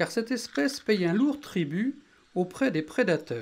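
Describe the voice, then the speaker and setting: The tone is calm. The pace runs fairly slow. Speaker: nature video narrator. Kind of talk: nature documentary narration. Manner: calm, measured, explanatory.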